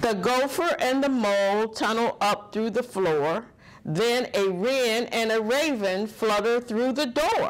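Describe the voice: A woman's slow, fairly high-pitched delivery with lively intonation. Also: few pauses.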